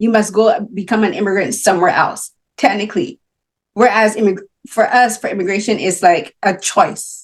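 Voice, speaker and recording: Speaking in a Barbadian accent at a moderate pace, a woman has a fairly high pitch with ordinary variation. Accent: Barbadian (Caribbean) English. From Barbados. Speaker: film critic and interviewer. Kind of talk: interview. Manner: animated.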